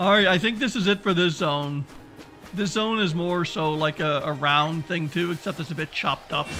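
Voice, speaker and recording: Music plays in the background. A man speaks at a high pitch and moderate pace with ordinary pitch variation. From Canada. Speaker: gaming livestreamer. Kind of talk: live gameplay commentary. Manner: casual, many fillers and repetitions.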